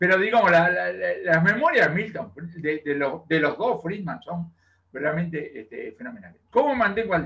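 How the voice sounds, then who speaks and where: Speaking in a Rioplatense accent, a man with a high-pitched, bright, sharp voice keeps a moderate pace and lively intonation. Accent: Argentine Rioplatense Spanish. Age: 70s. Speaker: economist. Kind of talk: interview. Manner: animated.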